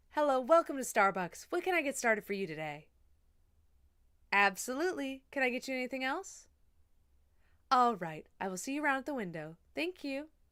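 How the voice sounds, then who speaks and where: Using a put-on, robotic character voice, a woman speaks at a high pitch with very wide pitch swings, moving at a fairly quick pace between long, frequent pauses. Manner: fake-nice, robotic customer service tone.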